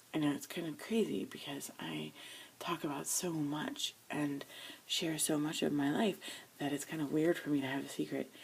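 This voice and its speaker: This woman talks quietly. Her pace is moderate. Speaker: video blogger. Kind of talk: personal confession vlog. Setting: home studio. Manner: speaking quietly.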